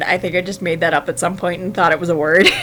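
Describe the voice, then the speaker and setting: There is noticeable background noise. Through it, a woman speaks at a fairly low pitch. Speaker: fanfiction writer livestreamer. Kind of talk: casual livestream chat while writing. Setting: livestream. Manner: gets louder when excited; hesitant, many fillers.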